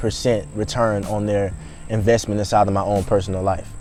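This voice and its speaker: Music plays in the background as a man talks at a fairly quick pace. His tone is animated. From US South (Birmingham, Alabama). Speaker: YouTuber and home cook. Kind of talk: casual Q&A monologue.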